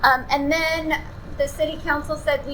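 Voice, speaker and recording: Audible room echo and noticeable background noise surround a woman as she speaks. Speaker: city manager. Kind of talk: public presentation. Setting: community center meeting with audience. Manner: frequent filler ums. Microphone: no microphone.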